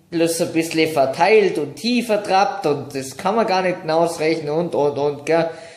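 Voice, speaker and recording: Audible room echo surrounds a man as he talks. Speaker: vlogger. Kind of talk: casual vlog chat, storytelling. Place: home room. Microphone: phone near.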